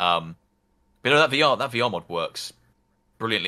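On a very clean recording with a silent background, a man speaks at a fairly quick pace in a bright, sharp tone. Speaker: game modder. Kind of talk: casual chat.

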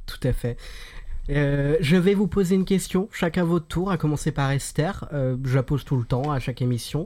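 A man talks at a moderate pace with a fairly high pitch and ordinary pitch variation. It is an unremarkable speaking voice. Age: 20s. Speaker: podcast host. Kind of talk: casual chat.

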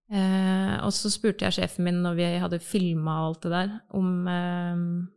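Recorded very cleanly against a silent background, a woman speaks at a fairly slow pace with monotone, flat intonation. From Norway, Bamble in Telemark. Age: 30s. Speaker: advertising agency worker. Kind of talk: casual chat.

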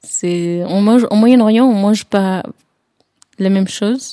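A woman speaks at a very slow pace in a dark, mellow tone. The sound is dry and close, with no echo. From Jordan. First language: Arabic (speaking French). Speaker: tea salon owner, former tour guide. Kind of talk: interview. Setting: drinking tea together. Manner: halting, many hesitations.

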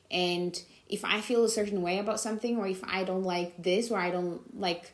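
A woman speaks fairly quickly, with noticeable background noise behind her voice. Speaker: podcast host. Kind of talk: solo monologue podcast.

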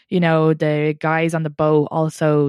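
In an Irish accent, a woman speaks at a very deep, low pitch. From Ireland, Longford. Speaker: comedian and podcaster. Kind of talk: casual chat.

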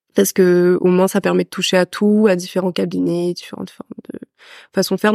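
A woman's medium-pitched voice with a dark, mellow tone at a fairly quick pace, a dry, close sound with no echo and a very clean recording with a silent background. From France (raised abroad: Senegal, Peru, then France from age 11). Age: 20s. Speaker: physiotherapy student. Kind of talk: casual chat. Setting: in person with host.

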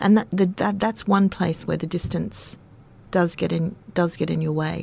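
A woman speaks in a fairly low pitch. Her tone is dark and mellow. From Queensland, Australia. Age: 50s. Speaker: high school English teacher. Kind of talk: casual interview. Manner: animated.

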